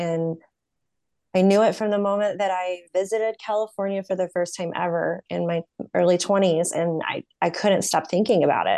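A woman's ordinary speaking voice in an American accent, medium in pitch, at a moderate pace with fairly even intonation, in a dry, close sound with no echo. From US South, North Carolina. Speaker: podcast host and therapy student. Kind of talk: interview.

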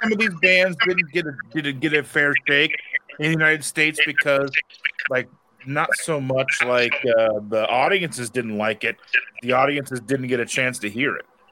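A man speaks at a moderate pace with a fairly high pitch and ordinary pitch variation. It is an ordinary speaking voice. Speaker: keto channel host. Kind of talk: casual panel chat.

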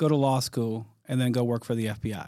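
A man speaks in an ordinary speaking voice with an American accent, at a medium pitch and a moderate pace. His pitch varies in an ordinary way, and the recording is very clean with a silent background. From US Midwest, Detroit, Michigan. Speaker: federal law enforcement official. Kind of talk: interview. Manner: frequent fillers and restarts.

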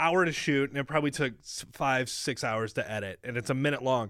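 An unremarkable speaking voice from a man with an American accent, fairly high-pitched and fairly quick, on a very clean recording with a silent background. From US Midwest. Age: 20s. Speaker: radio show video producer. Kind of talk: casual chat.

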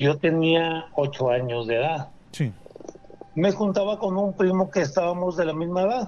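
A high-pitched man at a moderate pace, with noticeable background noise. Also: ordinary pitch variation. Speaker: caller. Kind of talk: phone-in storytelling. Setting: phone call.

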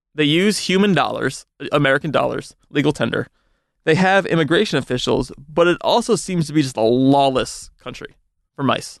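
A man speaks with a normal speaking voice, a fairly high pitch and ordinary pitch variation at a moderate pace. The background is quiet. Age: 30s. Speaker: entertainment editor and podcaster. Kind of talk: casual chat. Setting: studio.

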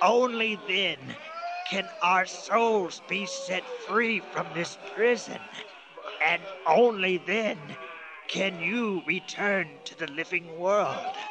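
Amid clear background noise, a man puts on a high-pitched character voice, talking very slowly with long, frequent pauses. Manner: formal, solemn, grave.

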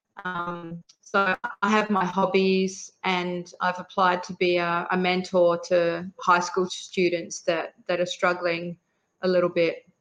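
Very slowly and with flat, monotone intonation, a woman with an Australian accent speaks in a fairly low pitch. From Western Australia. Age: 50s. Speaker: emergency management advisor. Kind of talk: interview testimony.

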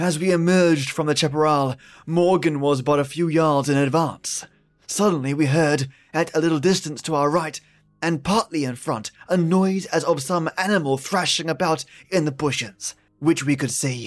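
Dramatic-toned speech at a moderate pace, with ordinary pitch variation and music in the background. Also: man. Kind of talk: horror story narration. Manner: formal, old-fashioned reading with dramatic pauses.

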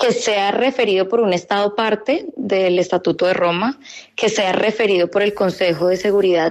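Intonation stays fairly even while the delivery keeps a moderate speed. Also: woman. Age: 30s. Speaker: law graduate student. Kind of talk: radio interview. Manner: hesitant, with fillers.

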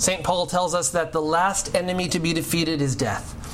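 The moderately paced speech comes with audible room echo and noticeable background noise. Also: man. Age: 40s. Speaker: pastor. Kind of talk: sermon.

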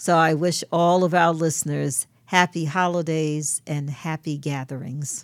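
A woman with an American accent and a very deep, low voice talks at a fairly slow pace in a monotone, flat intonation, with hardly any pauses. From New York, Brooklyn. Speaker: co-host, interfaith alliance president. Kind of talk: casual chat.

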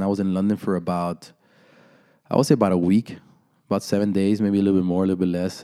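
This man's voice is very deep and low, with a dark, mellow tone, on a very clean recording with a silent background. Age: 30s. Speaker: content creator and entrepreneur. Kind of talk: casual chat.

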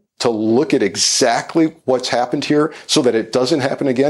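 Using a plain, everyday voice, a man speaks at a medium pitch and moderate pace with lively intonation. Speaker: former FBI official. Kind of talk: news panel commentary.

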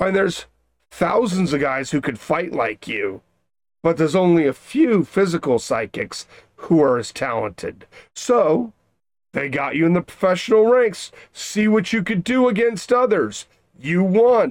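Put-on character voice at a middle pitch. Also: moderate pace. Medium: actual play. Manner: exasperated, lecturing.

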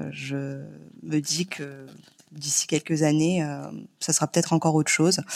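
With a very deep, low pitch, a woman speaks at a fairly slow pace in a monotone, flat intonation, leaving long, frequent pauses. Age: 30s. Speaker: nurse and mother. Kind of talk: casual chat. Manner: hesitant, many fillers.

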